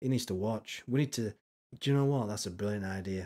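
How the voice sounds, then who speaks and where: This man talks with a Yorkshire accent in a dark, mellow tone. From Yorkshire, northern England. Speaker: streamer reacting to videos. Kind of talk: casual live-stream commentary. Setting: live stream. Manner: animated.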